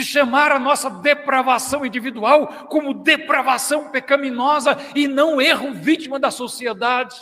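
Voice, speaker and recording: Over noticeable background noise, a man shouts in a raised, projected voice at an extremely high pitch, fairly slowly, with monotone, flat intonation and hardly any pauses. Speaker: pastor. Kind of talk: sermon. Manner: loud, shouting; passionate.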